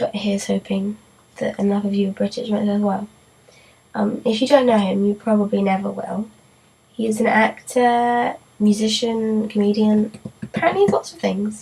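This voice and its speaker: A woman's fairly high voice with fairly even intonation, noticeable background noise. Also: moderate pace. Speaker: vlogger. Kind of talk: casual vlog talk to camera.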